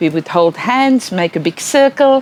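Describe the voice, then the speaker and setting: A woman with a South African accent, her pitch swinging very widely, over noticeable background noise. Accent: Afrikaans South African English. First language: Afrikaans. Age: old. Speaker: educational psychologist. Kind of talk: lecture.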